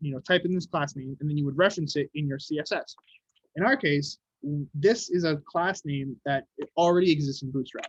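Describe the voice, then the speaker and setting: At a fairly quick pace, a man talks in a somewhat breathy, fairly high voice. His pitch varies in an ordinary way, and the sound is dry and close with no echo. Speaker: web development workshop instructor. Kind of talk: tutorial. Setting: video call. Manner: fast.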